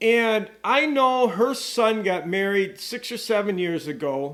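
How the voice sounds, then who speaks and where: Lively intonation carries a man's high pitch through a very clean recording with a silent background. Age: 60s. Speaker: online show host. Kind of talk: casual video monologue. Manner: rambling, conversational.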